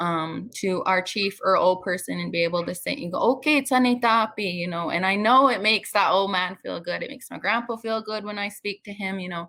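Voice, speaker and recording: A woman with an unremarkable speaking voice talks at a medium pitch and a fairly quick pace. Her pitch varies in an ordinary way, with hardly any pauses. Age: 20s. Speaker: heritage language speaker on a panel. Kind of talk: panel discussion.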